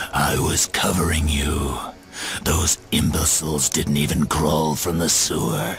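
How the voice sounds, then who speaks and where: A man growls in a put-on character voice at a fairly slow pace, with clear background noise behind him. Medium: machinima. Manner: calm, earnest.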